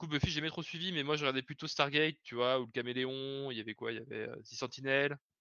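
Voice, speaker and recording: A man with a fairly high pitch at a very fast pace, fairly even intonation, big swings in loudness and hardly any pauses. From Lyon region, France. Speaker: software developer. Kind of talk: casual chat. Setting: live stream.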